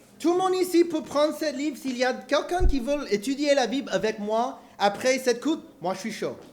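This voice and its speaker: With noticeable background noise, a man talks at a moderate pace in an extremely high pitch for a man, his intonation lively. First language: English (speaking French). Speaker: preacher. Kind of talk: sermon. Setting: church. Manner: halting, repeats words; animated.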